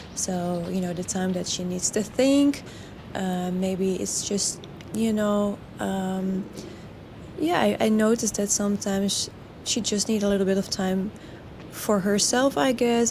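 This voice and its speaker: Over noticeable background noise, a woman with a Dutch accent speaks at a fairly slow pace with a medium pitch and ordinary pitch variation. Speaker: horse trainer. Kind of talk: video commentary over training footage. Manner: halting, many fillers and restarts.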